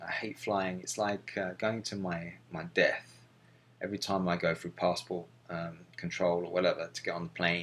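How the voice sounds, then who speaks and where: Speaking with a London accent, a man uses a very deep, low pitch at a moderate pace. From London, England. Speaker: missionary video blogger. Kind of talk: personal video journal. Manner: halting, many fillers.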